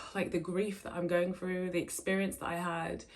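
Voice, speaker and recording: Over noticeable background noise, a woman with an English accent speaks fairly quickly at medium pitch in a flat, monotone delivery. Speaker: vlogger. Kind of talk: casual vlog talk. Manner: stumbling over words.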